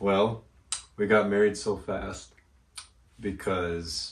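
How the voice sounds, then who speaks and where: The man speaks in a fairly low pitch. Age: 30s. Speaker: host's husband. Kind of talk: casual Q&A chat.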